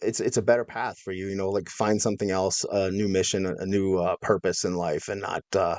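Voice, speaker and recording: A plain, everyday voice: a man with an American accent, fairly low in pitch, at a fairly quick pace with fairly even intonation, dry and close with no echo against a quiet background. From Minnesota, US Midwest. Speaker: former extremist turned educator. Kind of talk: interview.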